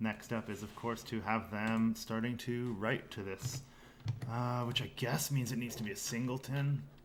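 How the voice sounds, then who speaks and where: A man mumbles at a moderate pace, his medium-pitched voice keeping a fairly even intonation. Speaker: game developer, technical director. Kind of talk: live coding stream. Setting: livestream. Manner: mumbling.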